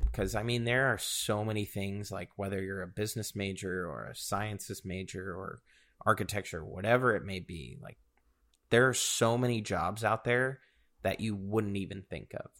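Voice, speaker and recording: A man with an unremarkable speaking voice talks at a moderate pace with a fairly low pitch and ordinary pitch variation. His loudness swings a lot, and the recording is very clean with a silent background. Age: 20s. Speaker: podcast co-host. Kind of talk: casual chat.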